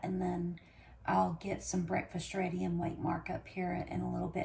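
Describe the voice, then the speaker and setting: A woman speaks quietly. Noticeable background noise runs behind her. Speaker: homesteading vlogger. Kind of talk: casual vlog talk. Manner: talking low, quiet.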